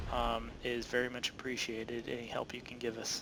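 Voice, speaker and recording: A man speaks with a bright, sharp tone. His pace is fairly slow. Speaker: video game tutorial creator. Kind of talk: gameplay tutorial commentary. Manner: halting, many filler uhs.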